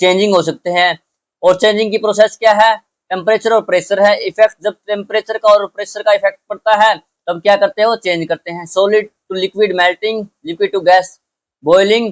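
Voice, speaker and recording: A man speaks at a moderate pace in a high voice with fairly even intonation. The sound is dry and close, with no echo. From Haryana, India. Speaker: school science teacher. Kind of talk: lecture. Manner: informal, code-switching Hindi-English.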